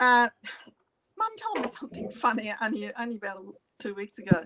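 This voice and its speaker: A high-pitched woman's voice in an Australian accent, with very wide pitch swings and a dry, close sound with no echo. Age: 70s. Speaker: interviewee telling life story. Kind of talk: testimony.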